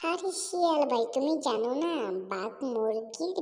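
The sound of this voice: A woman puts on a cartoonish character voice. Her pitch swings very widely up and down.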